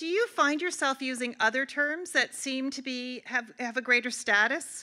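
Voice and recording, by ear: A bright, sharp tone with ordinary pitch variation at a moderate pace. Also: woman.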